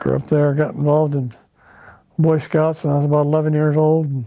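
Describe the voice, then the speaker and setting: A man speaks at a fairly high pitch. His pace is moderate and his intonation fairly even. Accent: western US. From Idaho, Boise area. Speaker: local resident interviewee. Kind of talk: oral history interview. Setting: at home. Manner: hesitant, with many fillers.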